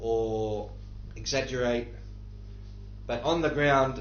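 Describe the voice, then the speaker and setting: A man with an Australian accent talks at a very slow pace. Audible room echo and noticeable background noise surround his voice. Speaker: livestreamer answering viewer questions. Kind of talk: live Q&A stream. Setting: live stream from a war zone. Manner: halting, with many fillers.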